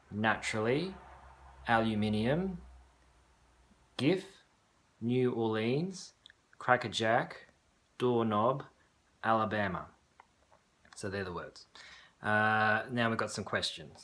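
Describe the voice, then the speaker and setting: A medium-pitched man with a Sydney accent, very slow and full of long, frequent pauses, with lively intonation. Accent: typical Sydney Australian. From Australia, Sydney. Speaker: video blogger. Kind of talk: reading a word list; casual monologue, accent tag video. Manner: hesitant, many fillers and repeats.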